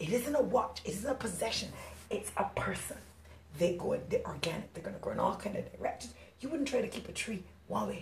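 A woman at a fairly quick pace, with long, frequent pauses. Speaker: relationship coach and podcast host. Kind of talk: solo podcast monologue.

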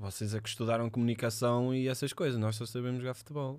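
Talking at a fairly quick pace, a man at medium pitch has a plain, everyday voice with fairly even intonation. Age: 20s. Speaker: footballer. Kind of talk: casual chat.

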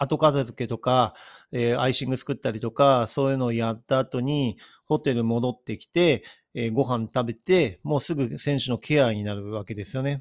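In an ordinary speaking voice, a man talks at medium pitch and a moderate pace, with big swings in loudness and a dry, close sound with no echo. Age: 50s. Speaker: athletic trainer podcaster. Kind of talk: solo podcast monologue.

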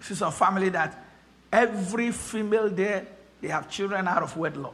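A high-pitched man speaks in a raised, projected voice at a moderate pace. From Nigeria. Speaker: pastor. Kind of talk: sermon. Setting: church. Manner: animated.

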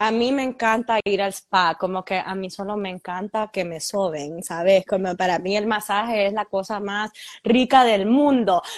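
With a Honduran accent, a woman speaks at a fairly slow pace with hardly any pauses, medium pitch and ordinary pitch variation, in a dry, close sound with no echo against a quiet background. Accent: Honduran Spanish (voseo). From Honduras. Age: 30s. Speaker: fashion entrepreneur and influencer. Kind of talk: interview.

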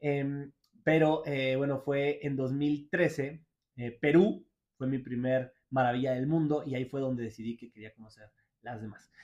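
Delivery is fairly slow with fairly even intonation and big swings in loudness. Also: man, fairly high pitch for a man. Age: 30s. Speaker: motivational speaker and podcast host. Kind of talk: personal monologue. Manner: halting, with pauses.

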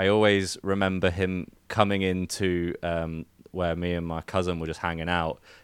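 In a very clean recording with a silent background, a man speaks at a moderate pace with a very deep, low pitch and monotone, flat intonation. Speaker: guest, podcaster and editor. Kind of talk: casual chat. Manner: flat, one tone.

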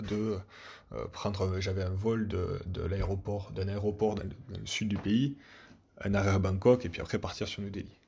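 At a moderate pace, a man speaks with a fairly low pitch and a dark, mellow tone. His voice is somewhat breathy, and his intonation stays monotone and flat. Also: very clean recording, silent background. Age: 20s. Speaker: traveller sharing a story. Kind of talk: personal storytelling. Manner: halting, many repetitions.

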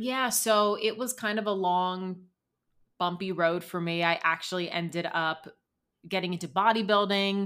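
The recording is very clean with a silent background, carrying a woman's voice at a medium pitch and moderate pace. She has a normal speaking voice with fairly even intonation. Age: 30s. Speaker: dietitian. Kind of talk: casual interview.

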